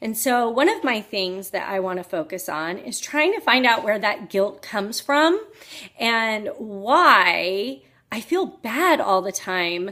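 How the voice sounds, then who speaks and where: A loud woman's voice, fairly high-pitched, with a bright, sharp tone, lively intonation and a very slow pace. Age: 40s. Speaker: health coach. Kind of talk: personal vlog talk. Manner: loud and boisterous.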